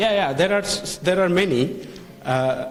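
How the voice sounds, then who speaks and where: A man talks with lively intonation, his voice carrying audible room echo amid noticeable background noise. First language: not English. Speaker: lecturer on food safety. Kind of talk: lecture. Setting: hotel hall with live audience. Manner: halting.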